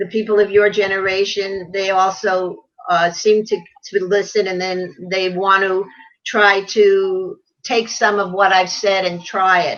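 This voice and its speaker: A woman speaks at a fairly slow pace with a New York accent, her medium-pitched voice held in a monotone, flat intonation. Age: 70s. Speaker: businesswoman. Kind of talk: casual chat.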